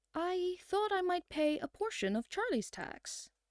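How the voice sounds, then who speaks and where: A woman puts on a character voice, extremely high in pitch, at a moderate pace. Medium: read story.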